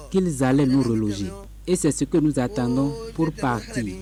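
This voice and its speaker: Over noticeable background noise, a man with a medium pitch talks at a fairly slow pace. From Benin, Grand-Popo. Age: 60s. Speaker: displaced resident. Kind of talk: news interview.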